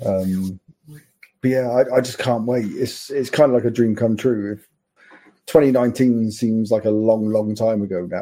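A man with an English accent, medium-pitched, at a fairly slow pace. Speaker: football fan. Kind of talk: casual chat. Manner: excitable.

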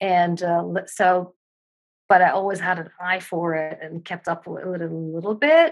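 Speaking at a fairly slow pace in a Dutch accent, a woman keeps fairly even intonation and a fairly low pitch while her loudness swings widely. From Netherlands. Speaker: circus performer, dancer and yoga instructor. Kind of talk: casual interview chat.

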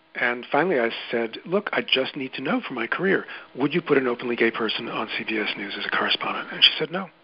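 Against noticeable background noise, a man talks very fast at medium pitch with lively intonation. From New York City, Queens. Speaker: journalist and podcast producer. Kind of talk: interview.

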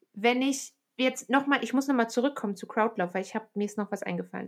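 In a very clean recording with a silent background, a woman talks at a fairly quick pace in an unremarkable speaking voice, fairly high in pitch with ordinary pitch variation. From Aachen, western Germany. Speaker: podcast host, trail runner. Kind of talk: casual interview.

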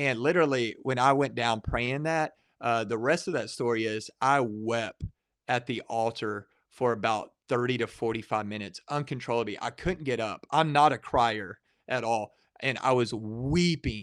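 A man with a Texan accent at medium pitch and moderate pace, with ordinary pitch variation, a dry, close sound with no echo, and a quiet background. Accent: Texan Southern US. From Texas, Waco area. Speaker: pastor and evangelism director. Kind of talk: casual interview testimony.

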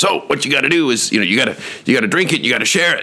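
A man's put-on character voice, raspy and fairly high, at a very fast pace. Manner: instructing, confident.

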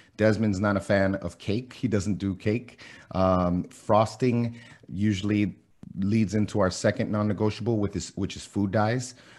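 A man speaks in a fairly low, monotone voice with flat intonation at a fairly slow pace. The recording is very clean, with a silent background. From Miami, US. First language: Spanish. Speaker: fitness and keto blogger, former college athlete and coach. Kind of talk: casual podcast interview.

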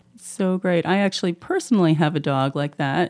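With a dark, mellow tone, a woman is talking. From Canada. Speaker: veterinarian. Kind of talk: casual chat.

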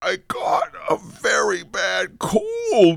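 A man's put-on character voice, squeaky and extremely high-pitched

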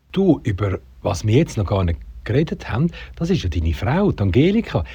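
Vocal fry and a dark, mellow tone, with very wide pitch swings at a moderate pace. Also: man. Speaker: podcast host. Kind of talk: interview.

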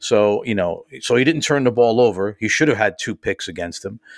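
A man with an American accent and a plain, everyday voice, at a moderate pace with ordinary pitch variation, in a very clean recording with a silent background and a dry, close sound with no echo. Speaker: radio show host, Jets fan. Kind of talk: casual chat about football.

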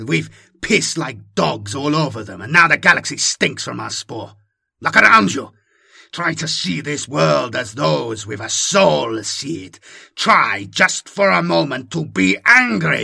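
A man's put-on character voice, raspy and medium in pitch, at a fairly slow pace. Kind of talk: dramatic audiobook character voice. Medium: read story. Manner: bitter, sour, despairing.

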